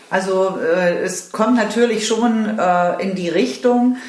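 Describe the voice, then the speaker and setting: There is audible room echo and noticeable background noise as a woman speaks at medium pitch with ordinary variation. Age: 50s. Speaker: yoga teacher trainee. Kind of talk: interview. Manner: halting, many fillers.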